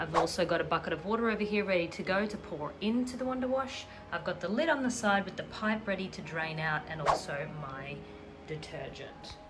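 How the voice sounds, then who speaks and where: With an Australian accent, a woman talks at a fairly quick pace in a medium-pitched voice with lively intonation, amid noticeable background noise and audible room echo. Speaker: product reviewer YouTuber. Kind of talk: product review and demo. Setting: at home, in the bathroom.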